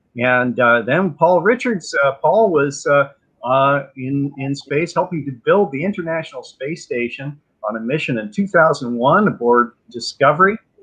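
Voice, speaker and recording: Over a quiet background, a man's pace is fairly slow. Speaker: host, tour guide. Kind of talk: event introduction. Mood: warm, enthusiastic. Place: home room. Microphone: video call.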